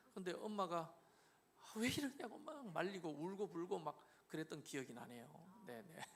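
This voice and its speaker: Speaking with a Gyeongsang accent at a moderate pace, a man uses a high pitch with very wide pitch swings and big swings in loudness. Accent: Gyeongsang dialect accent, noticeable. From Korea, Gyeongju, North Gyeongsang. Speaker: pastor. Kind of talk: interview testimony.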